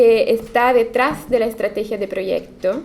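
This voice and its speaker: In an Italian accent, the speech moves at a fairly slow pace against noticeable background noise. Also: woman. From Italy. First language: Italian (speaking Spanish). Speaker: architect. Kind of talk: lecture.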